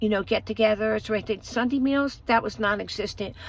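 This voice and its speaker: The recording is very clean with a silent background, and the speaker has an American accent. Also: woman. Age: 50s. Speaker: vlogger. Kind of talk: personal storytelling. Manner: halting, many fillers.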